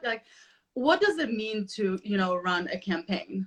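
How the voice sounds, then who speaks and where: A woman is speaking. Her pitch swings very widely. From Poland, raised in Chicago. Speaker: podcast host. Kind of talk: interview. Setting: live video stream.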